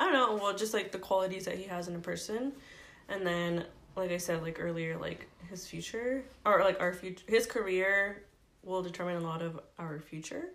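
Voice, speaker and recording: A woman with a plain, everyday voice speaks at a moderate pace, with a fairly low pitch and ordinary pitch variation. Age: 20s. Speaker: stay-at-home mom and photographer. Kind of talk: casual chat.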